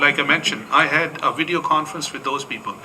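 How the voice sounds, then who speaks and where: A man talks over noticeable background noise. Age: 70s. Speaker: pastor. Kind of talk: panel discussion answer. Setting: conference room. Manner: halting.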